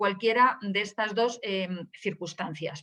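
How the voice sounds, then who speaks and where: A woman speaks at a moderate pace. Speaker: data protection official, webinar speaker. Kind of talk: webinar presentation. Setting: online webinar. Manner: hesitant, many fillers.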